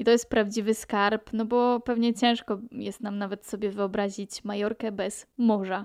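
Delivery is fairly slow with hardly any pauses. The intonation stays monotone and flat over a quiet background. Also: woman, fairly high pitch for a woman. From Poland, Pomerania. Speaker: podcaster. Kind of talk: solo podcast monologue.

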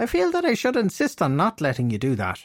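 In a put-on character voice, a man talks at a very fast pace with a high pitch. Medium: read story. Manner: candid, self-excusing.

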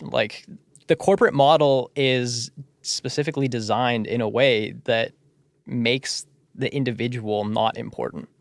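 With a Canadian accent and a normal speaking voice, a man speaks at a fairly slow pace and medium pitch with ordinary pitch variation, the sound dry and close with no echo. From Surrey, British Columbia, Canada. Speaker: theatre company founder and podcast host. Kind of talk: casual chat. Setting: studio.

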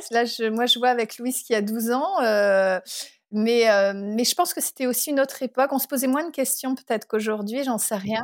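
A woman with a fairly high pitch and ordinary pitch variation speaks at a moderate pace in an unremarkable speaking voice, on a very clean recording with a silent background. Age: 40s. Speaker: parent who travelled the world with family. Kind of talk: casual interview.

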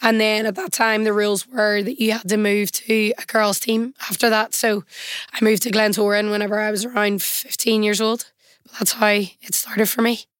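This woman has a Northern Irish accent and a fairly high pitch. She speaks at a moderate pace in a monotone, flat way. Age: 20s. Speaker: semi-professional footballer. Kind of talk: interview.

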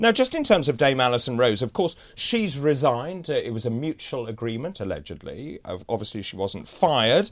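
A man speaks with a British accent at a medium pitch and a fairly quick pace, with hardly any pauses. His pitch swings very widely. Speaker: TV breakfast show host. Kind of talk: live TV news discussion, hosting interview. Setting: studio. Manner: formal, measured, broadcaster delivery.

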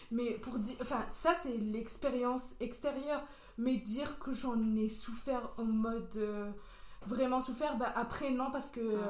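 With fairly even intonation and a high pitch, a woman speaks at a very slow pace amid audible room echo. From Algeria, Béjaïa. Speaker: podcast guest. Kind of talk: casual chat.

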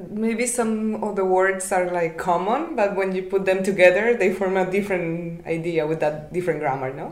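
A woman talks with a Spanish accent at a medium pitch, leaving hardly any pauses. Noticeable background noise is audible. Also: ordinary pitch variation, moderate pace. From Nicaragua. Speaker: podcast co-host, master's student. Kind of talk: casual chat.

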